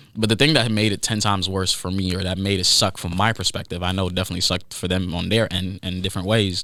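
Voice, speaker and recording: A man with a slight non-native accent speaks at a very fast pace in a very deep, low pitch and a bright, sharp tone, his intonation monotone and flat. The recording is very clean, the background silent. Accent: slight foreign accent on certain words. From Haiti. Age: 20s. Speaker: podcast host. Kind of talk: personal monologue podcast. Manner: casual, halting with restarts.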